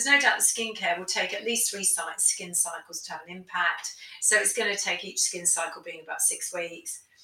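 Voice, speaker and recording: A woman at a fairly quick pace with big swings in loudness, over noticeable background noise. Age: 50s. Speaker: aesthetics doctor. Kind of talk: interview.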